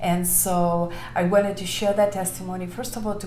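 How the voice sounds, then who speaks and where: Over music in the background and audible room echo, a woman with a Lithuanian accent speaks at a medium pitch in a flat, monotone intonation. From Lithuania, Vilnius. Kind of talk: testimony. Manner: many filler words, somewhat halting.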